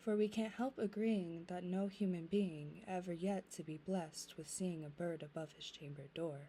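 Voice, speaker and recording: A soft-spoken woman with a fairly low pitch talks at a fairly slow pace with fairly even intonation. Her voice is somewhat breathy, with a dark, mellow tone. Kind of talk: poetry reading, ASMR.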